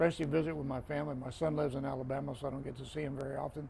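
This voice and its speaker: A man with an American accent, fairly high in pitch with a dark, mellow tone, somewhat breathy, monotone and flat in intonation, at a very fast pace. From Florida, US. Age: 60s. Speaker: retired football referee. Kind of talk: casual interview conversation.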